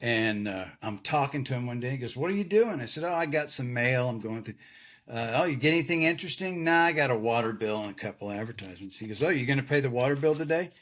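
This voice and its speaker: Speaking very fast in a Texan accent, a man with a medium pitch uses lively intonation, recorded very cleanly against a silent background. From Texas. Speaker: retired lighting designer. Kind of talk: casual chat. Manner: animated.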